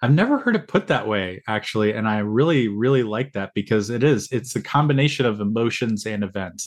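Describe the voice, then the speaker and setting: A man's ordinary speaking voice, medium in pitch with ordinary pitch variation, at a fairly quick pace against a quiet background. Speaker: podcast host. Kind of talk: casual interview.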